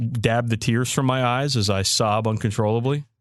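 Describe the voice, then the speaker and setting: Over a quiet background, a man with a slight Southern US accent talks at a moderate pace and medium pitch. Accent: slight Southern twang. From Maryland, US. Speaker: podcast co-host. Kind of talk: casual chat.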